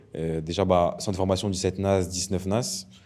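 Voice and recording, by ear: A man speaks low, with a slightly mellow tone and fairly even intonation. The recording is very clean, with a silent background. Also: moderate pace.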